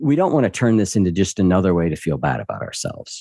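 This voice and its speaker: The tone is dark and mellow, with lively intonation. The sound is dry and close, with no echo. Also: man. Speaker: podcast host and behavior coach. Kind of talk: casual interview chat.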